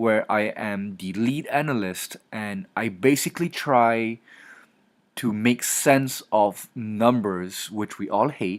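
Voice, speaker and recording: Heard in a very clean recording with a silent background, a man speaks very slowly at a fairly low pitch with ordinary pitch variation. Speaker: marketing analyst, guest lecturer. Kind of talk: recorded lecture. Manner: casual, filler-heavy.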